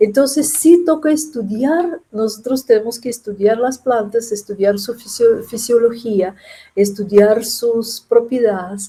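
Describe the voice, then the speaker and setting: Speaking at a fairly slow pace with a non-native accent, a woman with a fairly high voice and a dark, mellow tone uses lively intonation. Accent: foreign accent in Spanish. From Russia. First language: Russian (speaking Spanish). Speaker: chemistry professor and scientist. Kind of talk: interview. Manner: halting, with self-corrections.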